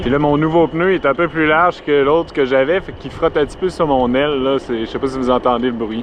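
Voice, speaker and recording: Noticeable background noise sits behind a man with a Quebec accent who speaks at a fairly quick pace in a fairly high pitch with ordinary pitch variation. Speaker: cycle touring vlogger. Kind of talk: travel vlog. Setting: outdoors on a bike. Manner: casual.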